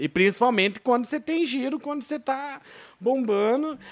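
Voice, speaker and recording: A man talks at a moderate pace. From Brazil, Telêmaco Borba, Paraná. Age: 20s. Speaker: bar and shop owner. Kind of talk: casual interview chat. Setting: studio, live podcast on camera.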